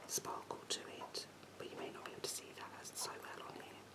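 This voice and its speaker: A soft-spoken voice whispers at a fairly slow pace. Loud background noise fills the recording. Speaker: beauty vlogger. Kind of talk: casual tutorial chat. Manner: soft ASMR whisper.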